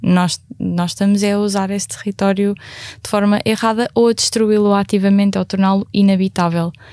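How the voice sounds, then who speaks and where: A woman with a dark, mellow tone talks at a moderate pace and medium pitch, her intonation monotone and flat, in a dry, close sound with no echo. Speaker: climate activist. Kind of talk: panel discussion.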